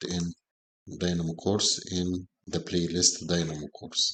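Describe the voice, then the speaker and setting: A man's very deep, low voice at a very slow pace. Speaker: BIM consultant teaching software course. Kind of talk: tutorial. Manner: hesitant, with filler sounds.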